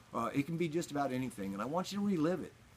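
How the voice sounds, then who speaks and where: A man with a Texas accent. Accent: Texas Southern US. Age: 60s. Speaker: radio DJ. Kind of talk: motivational talk to camera.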